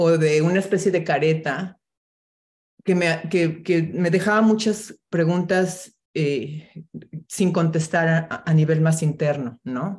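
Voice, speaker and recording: Somewhat breathy, a woman with a fairly low pitch speaks at a very slow pace. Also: ordinary pitch variation. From Mexico City. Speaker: filmmaker and TV producer. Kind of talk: casual interview chat.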